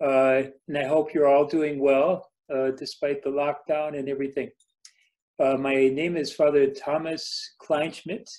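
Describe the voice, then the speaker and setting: This is a man with an American accent. His pitch is fairly high for a man. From United States. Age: 50s. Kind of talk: informal talk to parish group.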